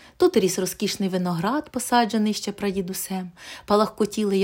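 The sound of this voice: The clip is an unforced reading voice.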